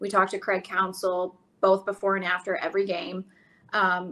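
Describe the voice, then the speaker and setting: With an American accent, a woman talks at a moderate pace in a bright, sharp tone. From US Midwest. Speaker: sports reporter. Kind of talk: interview. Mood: friendly, upbeat. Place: home room. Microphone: video call.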